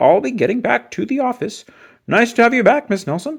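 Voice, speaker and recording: In a put-on character voice, a man talks fairly quickly at an extremely high pitch with lively intonation, on a very clean recording with a silent background. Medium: read story. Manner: formal, stuffy.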